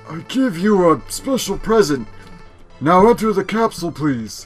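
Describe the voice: This is a put-on character voice at a middle pitch. It goes at a moderate pace over faint music in the background.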